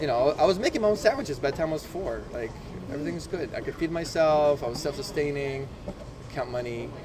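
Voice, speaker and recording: A man talks at a very fast pace and a fairly high pitch with lively intonation. Noticeable background noise can be heard. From Poland. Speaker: podcast guest. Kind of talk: casual interview chat.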